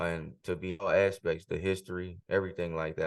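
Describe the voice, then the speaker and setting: A man speaks with a very deep, low pitch and an American accent. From US South, Marrero, Louisiana. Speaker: rapper. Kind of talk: interview answers. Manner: halting, many fillers.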